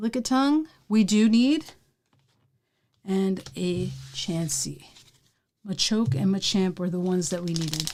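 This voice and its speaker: A woman speaks in a relaxed tone with lively intonation at a fairly slow pace, leaving long, frequent pauses. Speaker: pokemon card collector streamer. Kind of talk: live stream pack opening. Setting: live stream. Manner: casual, relaxed.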